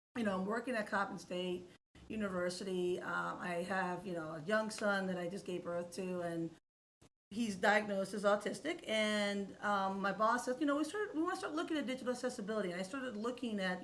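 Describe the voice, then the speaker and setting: Lively in intonation and fairly quick in pace, a woman's voice carries audible room echo. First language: Spanish. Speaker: accessibility expert and educator. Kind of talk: podcast interview.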